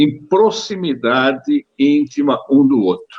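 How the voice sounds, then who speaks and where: A man talks with lively intonation at a very slow pace. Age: 70s. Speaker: physician. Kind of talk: interview. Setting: video call. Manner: halting.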